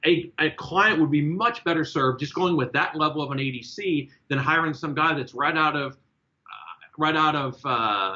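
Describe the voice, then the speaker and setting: This man's voice sits at a fairly high pitch and shows ordinary pitch variation. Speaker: court-martial defense lawyer. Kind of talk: casual discussion. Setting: group call. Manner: fast; animated.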